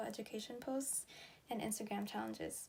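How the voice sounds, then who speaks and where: A woman with a fairly high pitch at a fairly quick pace. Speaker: student election nominee. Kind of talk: campaign speech.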